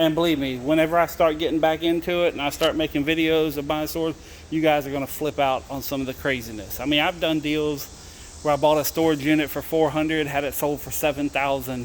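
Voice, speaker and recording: A man rattles along at a very fast pace against noticeable background noise. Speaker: storage unit reseller vlogger. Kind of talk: casual vlog monologue. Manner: halting, unfinished sentences.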